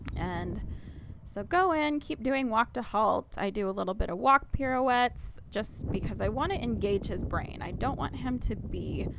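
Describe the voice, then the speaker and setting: There is noticeable noise behind a woman as she speaks at a moderate speed. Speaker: equestrian vlogger. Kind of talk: voice-over narration of riding footage.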